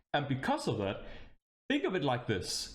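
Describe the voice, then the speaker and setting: A man speaks with a Danish accent in an animated tone. Audible room echo surrounds his voice. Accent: Danish accent, noticeable. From Denmark. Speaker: VTuber streamer. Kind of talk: casual livestream chat.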